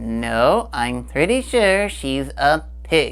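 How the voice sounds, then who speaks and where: A man's cartoonish character voice at a very slow pace. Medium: puppet. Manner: goofy, playful.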